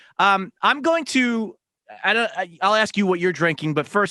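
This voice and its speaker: In a dry, close recording with no echo, a man uses a raised, projected, high-pitched voice with a bright, sharp tone, lively intonation and a fairly quick pace. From Philadelphia. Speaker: radio host. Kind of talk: casual chat. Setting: video call.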